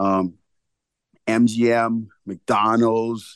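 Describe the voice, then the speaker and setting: A man speaks at a medium pitch in a monotone, flat way. The sound is dry and close with no echo, and the background is quiet. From Bahamas. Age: 40s. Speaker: entrepreneur. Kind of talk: interview. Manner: casual.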